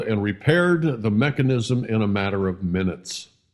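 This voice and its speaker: Speaking at a fairly slow pace, a man sounds somewhat breathy. His pitch swings very widely. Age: 70s. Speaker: community advocate, street piano restorer. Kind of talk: narration to kids, review of a local business. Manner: playful, avuncular.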